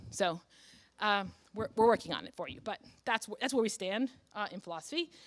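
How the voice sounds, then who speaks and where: A woman at a very fast pace, with big swings in loudness and long, frequent pauses. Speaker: philosophy professor. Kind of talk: keynote lecture. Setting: conference stage with audience. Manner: frequent fillers, um and uh.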